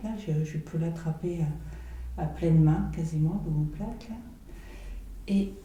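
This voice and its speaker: A soft-spoken woman at a very slow pace, fairly low in pitch with fairly even intonation. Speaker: massage therapist teaching. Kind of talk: guided massage tutorial, step-by-step commentary.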